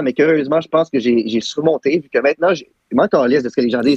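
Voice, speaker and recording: Talking at a very fast pace, a man speaks with an Ontario accent. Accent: Franco-Ontarian. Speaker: YouTuber. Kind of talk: casual chat. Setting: live stream podcast.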